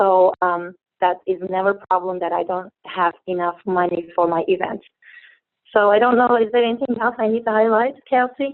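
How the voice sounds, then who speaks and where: Speaking at a moderate pace with a Turkish accent, a woman uses a medium pitch and ordinary pitch variation. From Turkey. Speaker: network marketing distributor. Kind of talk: testimony. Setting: phone call. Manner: halting.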